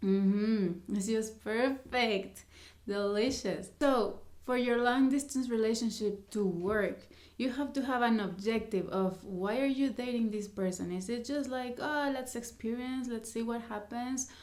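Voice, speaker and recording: The speech moves at a fairly slow pace with ordinary pitch variation and audible room echo. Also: woman, fairly high pitch for a woman. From Mexico. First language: Spanish. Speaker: vlogger. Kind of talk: casual vlog talk to camera. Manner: halting.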